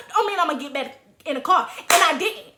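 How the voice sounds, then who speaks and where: Very fast, animated speech from a woman, raised and projected, with very wide pitch swings. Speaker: YouTuber telling personal stories. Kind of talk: storytime monologue.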